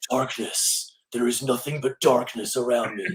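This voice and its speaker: A man's raspy, put-on character voice, dramatic in tone, at a medium pitch and moderate pace. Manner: dramatic, gravelly.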